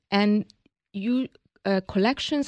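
A woman speaks at a moderate pace with a Hungarian accent. The sound is dry and close with no echo, and the background is quiet. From Hungary. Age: 60s. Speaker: business founder. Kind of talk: interview.

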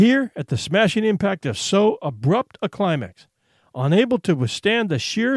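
A man's high-pitched voice with very wide pitch swings at a moderate pace, dry and close with no echo, on a very clean recording with a silent background. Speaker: audiobook storyteller. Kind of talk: scripted narration of a short story, sermon-style. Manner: formal, rolling, oratorical.

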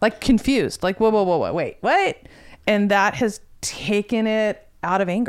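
This woman has an unremarkable speaking voice pitched fairly high. She talks at a moderate pace with ordinary pitch variation. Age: 50s. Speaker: guest discussing menopause. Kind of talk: casual chat.

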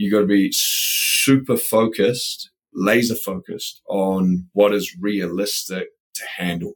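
Fairly slow speech with a New Zealand accent. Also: man. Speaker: building products company president. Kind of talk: interview.

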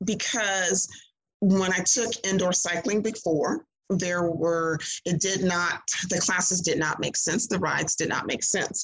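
A woman speaks with a Southern US accent at a fairly slow pace, her intonation fairly even and her loudness very even. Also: medium pitch for a woman. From Mississippi. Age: 60s. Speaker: fitness studio owner and instructor. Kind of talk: interview. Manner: many fillers.

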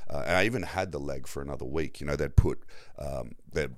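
A man talks at a fairly quick pace with vocal fry. His pitch variation is ordinary. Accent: Australian. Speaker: shark attack survivor and navy veteran. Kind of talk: casual chat.

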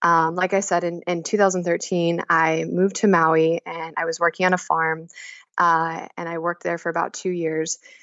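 A woman speaks with an American accent. Her pitch is fairly low, and her intonation is monotone and flat. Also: moderate pace. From Kansas. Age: 20s. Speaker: emotional intelligence educator. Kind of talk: casual chat. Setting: phone call.

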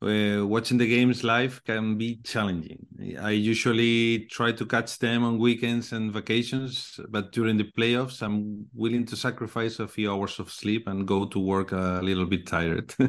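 Speaking with a Spanish accent, a man keeps a moderate pace, a medium pitch and a monotone, flat intonation, with hardly any pauses. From Spain. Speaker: Spanish-language basketball podcaster. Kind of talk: casual sports discussion. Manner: halting.

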